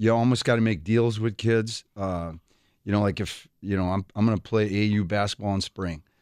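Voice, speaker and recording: A man talks at a moderate pace with a Wisconsin accent. His pitch is fairly low, with ordinary variation. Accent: Wisconsin Midwestern. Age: 60s. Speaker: veteran high school coach. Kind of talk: radio interview chat. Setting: radio studio.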